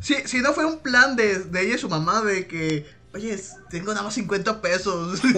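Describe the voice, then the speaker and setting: A man's high-pitched, raised, projected voice carries lively intonation over noticeable background noise. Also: fairly slow pace. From Mexico, Sinaloa. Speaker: podcast host. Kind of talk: casual chat. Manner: laughs often.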